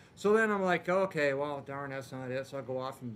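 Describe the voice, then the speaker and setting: This man's voice sits at a medium pitch and moves at a very fast pace. Audible room echo surrounds his words. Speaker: panel guest. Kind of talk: convention panel storytelling. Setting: stage with audience. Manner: animated.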